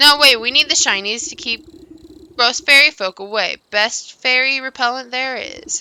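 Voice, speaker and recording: A woman puts on a character voice, high-pitched, raised and projected, at a moderate pace. She cackles as she goes. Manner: cackling, bossy.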